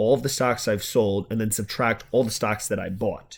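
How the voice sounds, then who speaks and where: A man with a Long Island accent is heard on a very clean recording with a silent background. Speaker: finance YouTuber. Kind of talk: tutorial. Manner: casual.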